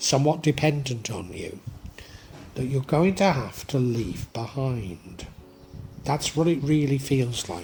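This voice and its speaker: A man speaks at a fairly slow pace. His pitch is fairly high. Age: 60s. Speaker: tarot reader. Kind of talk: tarot reading monologue. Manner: hesitant, with fillers and restarts.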